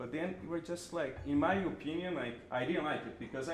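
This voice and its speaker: A man with a Brazilian Portuguese accent speaks amid audible room echo and noticeable background noise. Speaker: creative director and animator. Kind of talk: panel talk before an audience.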